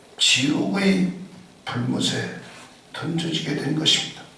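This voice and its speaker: The voice moves through very wide pitch swings. Room echo is audible, and there is noticeable background noise. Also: man. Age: 60s. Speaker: pastor. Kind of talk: sermon.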